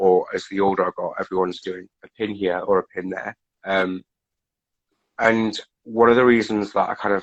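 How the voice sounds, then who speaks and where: A man with a fairly low voice speaks in a monotone, flat intonation at a moderate pace. Long, frequent pauses break up his speech, and the sound is dry and close with no echo. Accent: Geordie. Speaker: recovery facilitator, guest. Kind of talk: casual interview chat. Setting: Instagram live video stream.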